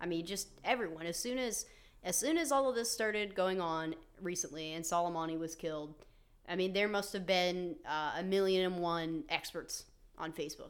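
With a plain, everyday voice, a woman talks at a moderate pace and a fairly low pitch, using ordinary pitch variation. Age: 20s. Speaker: podcast co-host. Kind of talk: casual chat about politics; reading notes aloud on history.

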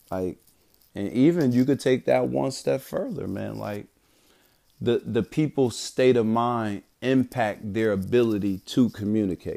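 A man with an American accent speaks in a dark, mellow tone at a medium pitch, at a fairly slow pace. His intonation is lively, and the recording is very clean with a silent background. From Bridgeport, Connecticut, US Northeast. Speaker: call center trainer and podcaster, Navy veteran. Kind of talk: solo motivational monologue. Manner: repetitive, halting restarts.

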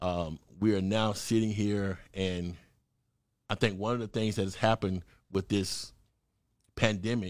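A man talks in a Southern US accent with fairly even intonation. The recording is very clean, the background silent. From Mississippi. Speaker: political candidate. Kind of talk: interview. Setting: studio.

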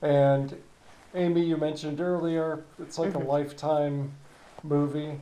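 A man's fairly high voice at a fairly slow pace, with ordinary pitch variation and audible room echo. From New Hampshire. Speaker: podcast host, former rehab hospital worker. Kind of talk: interview.

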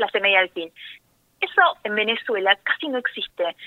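A woman talks at a fairly quick pace. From Argentina, rural Buenos Aires province near Necochea. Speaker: journalist. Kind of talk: interview. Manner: halting, repeats words.

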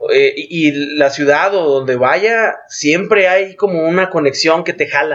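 A man's high-pitched voice at a very slow pace, with ordinary pitch variation. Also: hardly any pauses. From Mexico, Guadalajara (Jalisco). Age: 30s. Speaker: outdoor sports and cycling event organizer. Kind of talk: casual interview.

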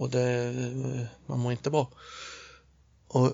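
A male voice sits at a medium pitch. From Småland, Sweden (Nässjö). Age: 50s. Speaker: inventor and workshop owner. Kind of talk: casual chat. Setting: improvised studio in a hotel toilet. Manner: halting, many repetitions; quiet.

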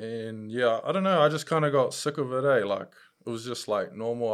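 A man with a New Zealand accent at medium pitch and a fairly quick pace, on a very clean recording with a silent background. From New Zealand, Upper Hutt, Wellington. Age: 20s. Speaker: professional kickboxer and MMA fighter. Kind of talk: casual chat.

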